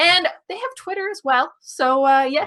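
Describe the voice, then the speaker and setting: Her voice is raised and projected, high in pitch, and bright and sharp in tone as this woman talks at a fairly quick pace. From Newfoundland, Canada. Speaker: podcast co-host. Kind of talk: casual podcast chat.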